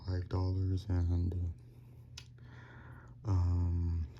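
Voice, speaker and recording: A very deep, low, quiet male voice with a dark, mellow, somewhat breathy tone. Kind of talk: casual product review talk. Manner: quiet, low volume; hesitant, many fillers.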